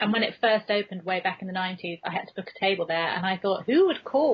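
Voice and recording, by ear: A woman talks at a fast pace in a medium pitch, with ordinary pitch variation and a slightly husky edge.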